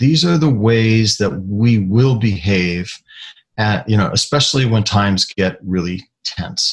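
A somewhat breathy voice speaks at a fairly slow pace. The recording is very clean, with a silent background. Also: man. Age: 60s. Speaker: retired aerospace scientist. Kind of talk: interview. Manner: halting.

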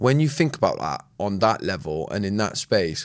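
A man with a southern English accent speaks at a moderate pace, his pitch swinging very widely. The recording is very clean, with a silent background. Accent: southern English, West Country tinge. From southern England (Swindon). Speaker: podcast co-host. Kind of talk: casual chat.

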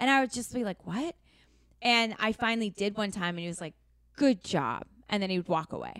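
Fairly quick speech with an American accent, lively intonation and long, frequent pauses, in a dry, close sound with no echo and a very clean recording with a silent background. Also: woman, medium pitch for a woman. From US Pacific Northwest, Seattle. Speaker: actor and writer. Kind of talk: casual interview chat.

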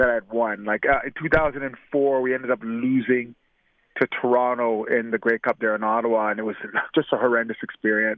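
Speaking at a moderate pace with a Canadian accent, a man keeps a medium pitch and a monotone, flat intonation. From Canada. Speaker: retired football receiver. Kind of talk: interview. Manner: halting, repeats words.

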